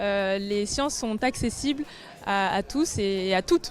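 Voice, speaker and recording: Over background music, a woman speaks with a fairly high pitch. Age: 20s. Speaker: engineering student, award winner. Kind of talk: prepared testimony. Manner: hesitant, many filler sounds.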